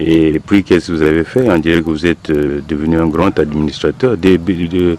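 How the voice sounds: A man at a moderate pace, low in pitch, with a dark, mellow tone and fairly even intonation.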